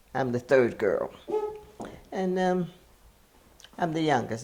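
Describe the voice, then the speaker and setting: A woman talks fairly slowly in an American accent, with noticeable background noise around her. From James Island, South Carolina. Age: 80s+. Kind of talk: interview answer.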